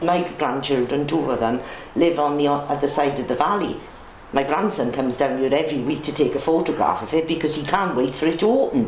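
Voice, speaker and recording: A woman's very deep, low voice comes through with audible room echo and noticeable background noise. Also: ordinary pitch variation, fairly quick pace. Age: 60s. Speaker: longtime resident. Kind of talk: casual interview.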